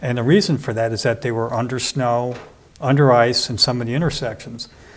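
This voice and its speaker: A man speaks at a fairly quick pace with ordinary pitch variation and a medium pitch. His is an unremarkable speaking voice. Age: 60s. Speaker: water utility commissioner. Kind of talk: interview.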